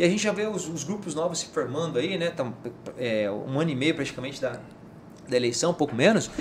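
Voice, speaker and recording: Very fast speech from a man at a fairly high pitch, amid noticeable background noise. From Mato Grosso, Brazil (Rondonópolis). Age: 40s. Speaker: politician and businessman. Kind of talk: casual interview.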